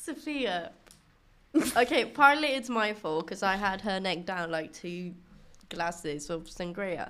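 The voice has a bright, sharp tone and very wide pitch swings. It moves at a fairly slow pace with long, frequent pauses. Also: woman, medium pitch for a woman. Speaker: student, host's best friend. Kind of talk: casual chat. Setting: studio.

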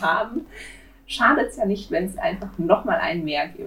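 A woman with a Swabian accent speaks with very wide pitch swings. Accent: Swabian dialect, slight to moderate. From Swabia, southwest Germany. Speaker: true crime podcast co-host. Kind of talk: casual chat.

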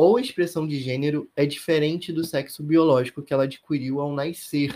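Here is a plain, everyday voice from a man, fairly high in pitch. He speaks fairly slowly with fairly even intonation. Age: 20s. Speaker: law student and academic researcher. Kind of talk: interview.

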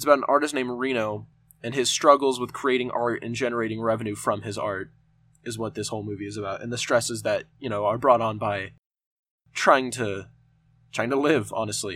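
This man speaks fairly quickly at a medium pitch, his intonation fairly even. The recording is very clean, with a silent background. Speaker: movie review podcast host. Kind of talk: solo casual movie review.

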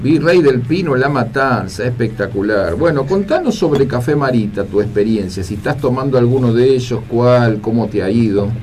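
A man's medium-pitched voice with hardly any pauses, plus audible room echo and noticeable background noise. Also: ordinary pitch variation, moderate pace. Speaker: radio host and life coach. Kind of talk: radio call-in show.

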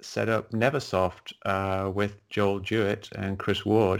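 This man has an English accent. He speaks at a fairly slow pace. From England. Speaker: science writer and skeptic, retired game programmer. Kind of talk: interview. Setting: video call.

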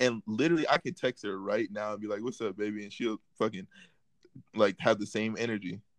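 A man with an ordinary speaking voice talks at a fairly quick pace in a fairly low pitch. His pitch varies in an ordinary way, and the sound is dry and close with no echo. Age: young. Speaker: social media comedian. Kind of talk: casual chat.

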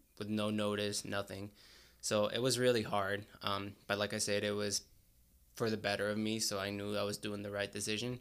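A man with a fairly low pitch and monotone, flat intonation at a moderate pace, on a very clean recording with a silent background. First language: Spanish. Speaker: graduate student and college wrestler. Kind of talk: casual interview. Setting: studio. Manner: casual, hesitant with fillers.

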